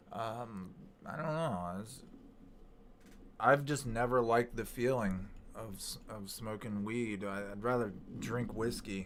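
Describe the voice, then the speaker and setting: Amid audible room echo, a man speaks at a fairly slow pace with long, frequent pauses and big swings in loudness. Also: medium pitch for a man, ordinary pitch variation. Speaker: YouTuber hosting live chat. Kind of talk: casual live stream chat. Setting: live stream.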